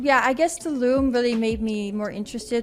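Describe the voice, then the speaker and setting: A woman with a Dutch accent speaks at a fairly quick pace. Her pitch is fairly high, with ordinary variation. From Netherlands, Amsterdam. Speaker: wellness coach. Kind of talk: interview. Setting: studio.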